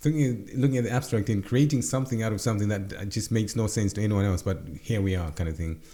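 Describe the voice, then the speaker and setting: The voice moves at a fairly quick pace. Its tone is dark and mellow. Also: man. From Zimbabwe. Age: 40s. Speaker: entrepreneur. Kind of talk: interview. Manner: halting, many repetitions.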